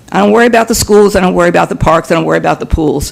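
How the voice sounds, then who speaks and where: Noticeable background noise around a man's high-pitched voice. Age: 80s+. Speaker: public commenter at town meeting. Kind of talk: public comment at board meeting.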